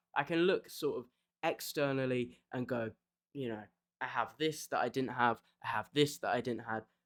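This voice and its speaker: At a fairly quick pace, a man with a British accent speaks at a medium pitch with ordinary pitch variation on a very clean recording with a silent background. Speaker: video essayist. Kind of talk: casual video essay monologue. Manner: rambling, hesitant with fillers.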